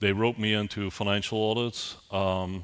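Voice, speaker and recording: This voice has monotone, flat intonation. It comes with a Belgian accent. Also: man. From Belgium. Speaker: IT security executive, keynote speaker. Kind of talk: conference keynote. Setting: conference stage with audience. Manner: hesitant, with frequent repetitions and fillers.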